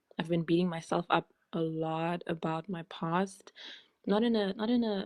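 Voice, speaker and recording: A woman's fairly low voice with a slight South African accent, ordinary pitch variation and a moderate pace. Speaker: former journalist. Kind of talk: live Q&A.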